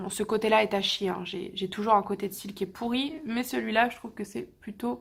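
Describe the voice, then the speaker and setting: Vocal fry runs through this woman's fairly high-pitched voice. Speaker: beauty youtuber. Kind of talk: casual product review vlog.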